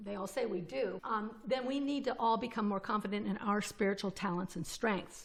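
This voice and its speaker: A woman at medium pitch talks at a fairly quick pace in a normal speaking voice. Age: 60s. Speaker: podcast co-host. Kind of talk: casual podcast conversation.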